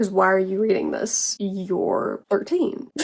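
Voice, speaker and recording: With an American accent, a woman speaks over noticeable background noise. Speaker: vlogger. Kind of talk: casual vlog.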